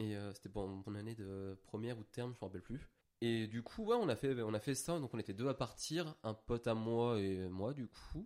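An ordinary speaking voice at a moderate pace. The pitch variation is ordinary. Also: man, medium pitch for a man. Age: 20s. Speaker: regular guest, recent graduate. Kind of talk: casual chat.

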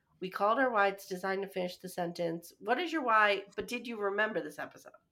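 At a very fast pace, a woman talks with a medium pitch and ordinary pitch variation. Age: 40s. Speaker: podcast co-host. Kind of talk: casual chat.

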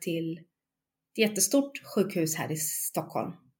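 On a very clean recording with a silent background, a woman speaks at a fairly slow pace in a somewhat breathy voice. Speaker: bereaved mother. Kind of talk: testimony.

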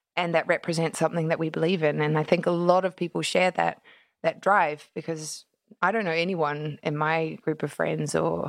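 Delivered at a moderate pace with fairly even intonation, the speech sits on a very clean recording with a silent background. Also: woman. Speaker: charity co-founder. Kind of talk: interview.

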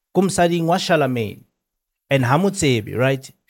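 A man talks at a fairly high pitch, his pitch variation ordinary, in a very clean recording with a silent background. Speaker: podcast co-host. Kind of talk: casual chat.

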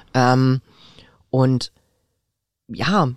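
The woman's voice is very deep and low in pitch, recorded with a dry, close sound and no echo. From Berlin, Charlottenburg. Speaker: podcast co-host. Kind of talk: casual chat. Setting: studio.

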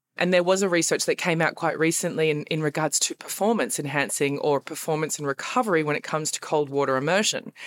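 An Australian-accented woman talks at a fairly quick pace. Her voice is fairly low in pitch, with ordinary variation. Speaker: fitness coach. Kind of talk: interview.

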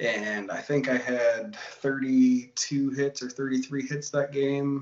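A man talks with a Michigan accent. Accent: Michigan (Upper Midwest) American. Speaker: former hockey player, now in golf. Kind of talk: casual interview.

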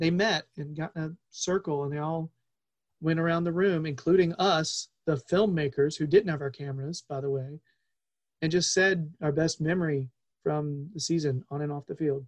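With a plain, everyday voice, a man speaks at a moderate pace and a fairly high pitch, his intonation fairly even and the sound dry, close, with no echo. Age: 40s. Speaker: soccer podcast host. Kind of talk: casual chat.

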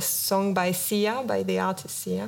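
A woman speaks with a French accent. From France. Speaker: visual artist. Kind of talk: interview. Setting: stage with audience.

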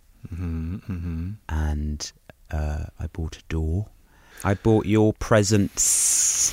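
Speaking with an English accent, a man has a very deep, low pitch and a dark, mellow tone with ordinary pitch variation. He goes at a very slow pace, and the sound is dry and close with no echo. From England. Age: 30s. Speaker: podcast co-host. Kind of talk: casual chat.

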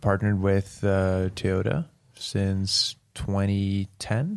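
The speaker talks very slowly with a Norwegian accent. The recording is very clean, with a silent background. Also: man. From Norway. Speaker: professional drift racing driver. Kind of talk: casual interview. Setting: hotel room in Norway.

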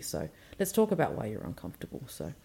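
A woman speaks in a dark, mellow tone. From Western Australia, Noongar. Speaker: parent and cultural educator. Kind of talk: casual group conversation.

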